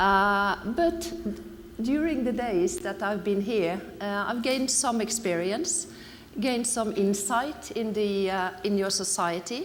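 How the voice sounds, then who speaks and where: A woman with a Norwegian accent talks at a very slow pace, her medium pitch carried by lively intonation. The recording has audible room echo and noticeable background noise. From Norway. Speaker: anti-corruption NGO representative. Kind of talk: conference talk. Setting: conference stage with audience. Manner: halting, many fillers.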